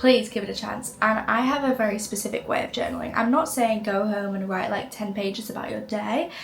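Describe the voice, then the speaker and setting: A woman with a British accent talks at a fairly quick pace and fairly high pitch with ordinary pitch variation, amid noticeable background noise and audible room echo. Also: hardly any pauses. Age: 20s. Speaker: lifestyle content creator. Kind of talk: casual vlog talk to camera. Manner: animated.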